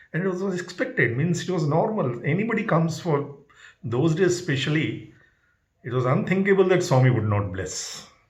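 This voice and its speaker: A man with a fairly high pitch and vocal fry talks at a moderate pace, his voice making very wide pitch swings. Audible room echo surrounds him. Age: 70s. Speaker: spiritual devotee sharing experiences. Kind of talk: personal testimony. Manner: halting.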